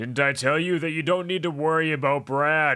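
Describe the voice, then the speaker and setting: A man's put-on character voice, fairly high-pitched, at a moderate pace with fairly even intonation. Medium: read story.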